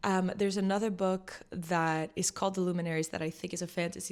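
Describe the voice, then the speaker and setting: A woman's fairly low voice in a French accent, with fairly even intonation, on a very clean recording with a silent background. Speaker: vlogger. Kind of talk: casual vlog chat. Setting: sitting at home with tea.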